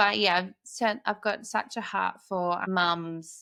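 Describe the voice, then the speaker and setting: Very clean recording with a silent background of a woman with an Australian accent, medium pitch, and fairly even intonation. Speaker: podcast host, mother. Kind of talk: casual chat.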